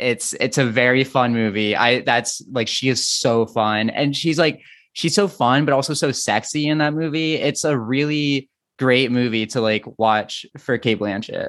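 A man with an ordinary speaking voice talks at a fairly slow pace and medium pitch, with ordinary pitch variation and very even loudness, over a quiet background. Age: 30s. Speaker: film writer and editor. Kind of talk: casual chat. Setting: podcast.

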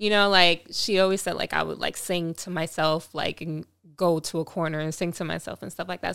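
With a Long Island accent, a woman speaks at a fairly low pitch on a very clean recording with a silent background. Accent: New York (Long Island). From Long Island, New York. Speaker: singer. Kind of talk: casual chat. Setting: studio. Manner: laughs often.

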